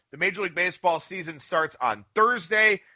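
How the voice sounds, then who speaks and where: A man's raised, projected voice, high-pitched with a bright, sharp tone, dry and close with no echo, over a quiet background. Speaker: sports betting podcast host. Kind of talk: sports betting podcast talk.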